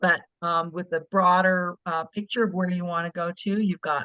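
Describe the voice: A woman speaks at a moderate pace with fairly even intonation. Her voice is fairly low in pitch and fairly bright in tone.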